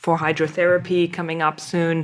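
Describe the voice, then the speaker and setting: The speaker has a German accent. The pace is moderate. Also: woman. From Germany. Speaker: podcast host, naturopathic physician. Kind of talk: interview conversation.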